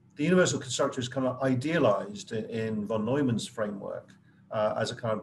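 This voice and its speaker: Over light background noise, a man speaks very fast in a somewhat breathy voice. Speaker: professor guest speaker. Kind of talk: lecture. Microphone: video call.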